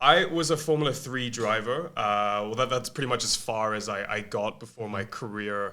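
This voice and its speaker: A man speaks at a moderate pace with hardly any pauses, his bright, sharp voice sitting at a medium pitch with ordinary pitch variation, captured in a very clean recording against a silent background. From Malaysia. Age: 20s. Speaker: agency co-founder and former race car driver. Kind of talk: podcast interview.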